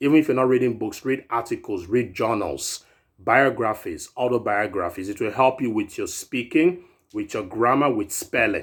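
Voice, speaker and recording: A man with an ordinary speaking voice at a medium pitch, moderate pace and ordinary pitch variation. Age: 30s. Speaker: fitness and self-improvement vlogger. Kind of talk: casual vlog monologue. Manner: rambling, repetitive conversational.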